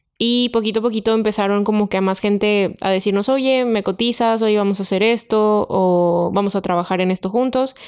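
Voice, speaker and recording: A woman's medium-pitched voice at a fairly quick pace, very even in loudness, with fairly even intonation, on a very clean recording with a silent background. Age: 20s. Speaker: podcast co-host. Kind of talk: casual chat.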